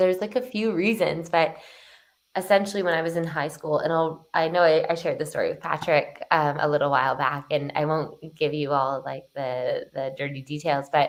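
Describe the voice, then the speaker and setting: A woman's normal speaking voice with a Canadian accent, fairly low in pitch, at a moderate pace with ordinary pitch variation. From Canada, Toronto. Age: 20s. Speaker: transformation coach. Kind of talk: podcast interview.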